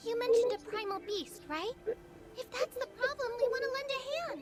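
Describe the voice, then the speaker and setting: An extremely high-pitched, put-on character voice moves at a moderate pace. Light background noise can be heard. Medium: video game. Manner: brash, casual.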